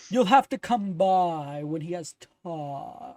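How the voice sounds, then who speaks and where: The pace here is fairly slow. A put-on character voice sits at a middle pitch. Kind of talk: stuffy, formal. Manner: haughty, aloof.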